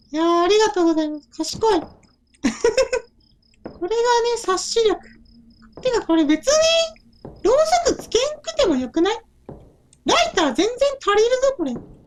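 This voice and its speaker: In a put-on character voice at an extremely high pitch, a man talks at a moderate pace with long, frequent pauses. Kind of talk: game let's play commentary. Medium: role play. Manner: casual.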